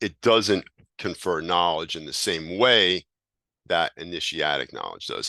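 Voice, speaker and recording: His very deep, low pitch shows ordinary variation, and this man's bright, sharp tone comes through with a dry, close sound and no echo. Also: quiet background. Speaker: teacher of hermetic esotericism. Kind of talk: lecture. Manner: halting.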